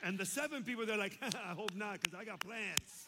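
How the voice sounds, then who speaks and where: With an American accent, a man speaks in a raised, projected voice at a high pitch and a fairly quick pace. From Chicago, US. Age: 50s. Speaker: pastor. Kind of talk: sermon. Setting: church with congregation.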